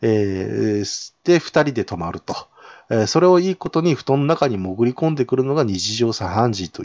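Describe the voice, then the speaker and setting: The man's pitch swings very widely, captured in a dry, close sound with no echo. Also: medium pitch for a man, moderate pace, quiet background. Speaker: podcast host. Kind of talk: solo casual talk about games. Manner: hesitant, many fillers.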